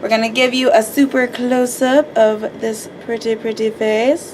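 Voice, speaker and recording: A woman speaks over noticeable background noise. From US Midwest, Minnesota. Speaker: beauty YouTuber, makeup artist. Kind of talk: casual chat during makeup tutorial. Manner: animated.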